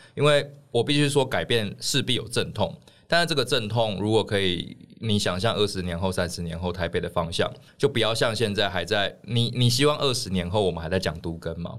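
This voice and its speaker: A man with a plain, everyday voice speaks at a fairly quick pace, his fairly low pitch carried by lively intonation. The recording is very clean, with a silent background. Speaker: political candidate. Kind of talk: casual chat.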